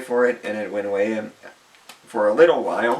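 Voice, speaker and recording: A man at a medium pitch and a fairly quick pace, against noticeable background noise. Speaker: vlogger. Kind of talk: autobiographical vlog. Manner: halting, with repetitions; partly reading from phone.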